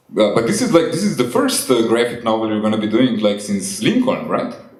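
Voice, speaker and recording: A man at a moderate pace, with audible room echo. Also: long, frequent pauses. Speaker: interviewer, comics artist. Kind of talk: casual interview. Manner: soft-spoken.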